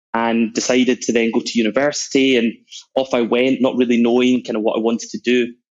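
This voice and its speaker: A man's very fast, monotone delivery with flat intonation, in a Scottish accent. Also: medium pitch for a man. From Scotland, Glasgow. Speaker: sales executive. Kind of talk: podcast interview.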